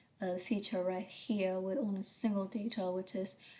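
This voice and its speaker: The pitch varies in an ordinary way and the pace is moderate. There is a somewhat breathy quality to the voice. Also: woman. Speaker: engineering professor. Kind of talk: lecture. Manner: halting, many fillers.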